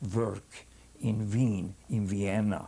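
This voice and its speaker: A man's dark, mellow tone, somewhat breathy. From Hungary. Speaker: rabbi. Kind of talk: testimony. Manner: halting.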